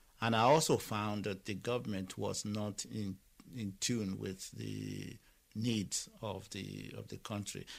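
In a very clean recording with a silent background, a man with a Nigerian accent speaks at a fairly slow pace and a fairly low pitch. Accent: Nigerian (Yoruba) English. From Nigeria, Lagos. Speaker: Nigerian immigrant in Ireland. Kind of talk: interview testimony. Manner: halting, with many repetitions.

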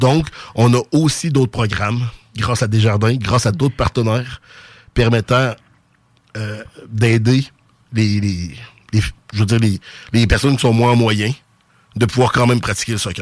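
On a very clean recording with a silent background, a man with a Quebec City accent speaks at a moderate pace and medium pitch, his intonation fairly even, with long, frequent pauses. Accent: Quebec City (Sainte-Foy). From Quebec (Sainte-Foy, Quebec City). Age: 40s. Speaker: youth soccer club director. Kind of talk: radio interview.

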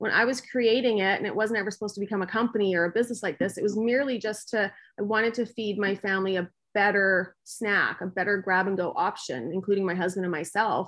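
Speaking at a very fast pace, a woman talks with a Canadian accent. Her medium-pitched voice keeps a fairly even intonation. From Winnipeg, Canada. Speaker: business owner. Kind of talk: interview.

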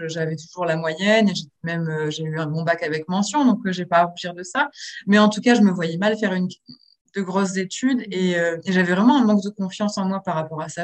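With an unremarkable speaking voice, a woman talks at a fairly quick pace, a medium pitch and ordinary pitch variation. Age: 30s. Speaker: book influencer. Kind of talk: interview.

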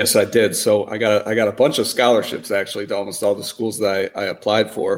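Speaking at a very fast pace with hardly any pauses, a man uses an American accent. His voice sits fairly low, with fairly even intonation. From Wisconsin, Milwaukee. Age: 30s. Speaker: podcast guest. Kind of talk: casual interview.

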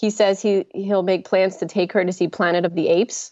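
A woman speaks with a slight New Jersey accent. Her intonation stays fairly even. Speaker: primate sanctuary program director. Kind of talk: casual interview chat. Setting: remote link.

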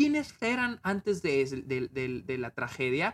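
A man with lively intonation at a fairly slow pace. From Mexico, Chihuahua. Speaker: film critic podcaster. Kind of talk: casual review monologue. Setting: home video recording. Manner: unscripted, hesitant with repetitions.

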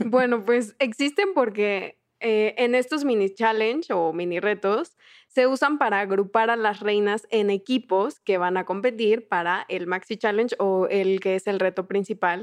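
This is a normal speaking voice with ordinary pitch variation, heard against a quiet background. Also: woman, fairly high pitch for a woman. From southern Mexico. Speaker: podcast co-host and producer. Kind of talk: casual chat.

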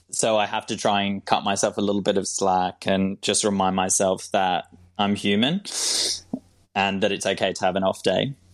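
A man with a slight Australian accent talks in a fairly low, flat monotone over a quiet background. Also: moderate pace. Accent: English with a slight Australian tinge. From England. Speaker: cancer patient sharing his story. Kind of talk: interview. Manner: laughs often.

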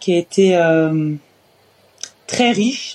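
Noticeable background noise is present throughout. Against it, a woman talks at a fairly low pitch. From France, Orléans area. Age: 30s. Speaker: professional basketball player. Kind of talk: interview.

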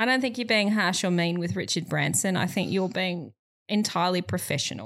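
Heard on a very clean recording with a silent background, a woman speaks with very even loudness and ordinary pitch variation. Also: medium pitch for a woman, fairly quick pace. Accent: Australian. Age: 30s. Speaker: comedian podcast co-host. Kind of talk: casual chat.

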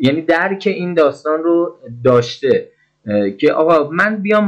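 An ordinary speaking voice moves at a moderate pace. The intonation is lively. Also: man. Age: 40s. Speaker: interviewee. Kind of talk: testimony.

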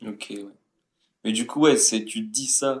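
A man with a plain, everyday voice speaks at a fairly slow pace with fairly even intonation. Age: 20s. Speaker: podcast co-host friend. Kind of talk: casual chat.

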